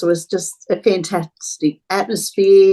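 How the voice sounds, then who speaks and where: A woman talks in an Australian accent. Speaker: charity volunteer, football fan. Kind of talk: casual interview chat.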